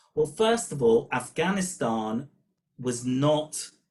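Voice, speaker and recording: A man with a British accent talks at a fairly slow pace with lively intonation. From Britain. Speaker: professor of political studies. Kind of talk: webinar talk.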